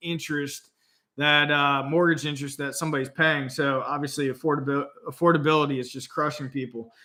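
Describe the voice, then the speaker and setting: Speaking fairly quickly, a man with a fairly high pitch keeps a monotone, flat intonation. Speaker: real estate YouTuber. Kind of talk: casual talking-head commentary. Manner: casual, filler-heavy.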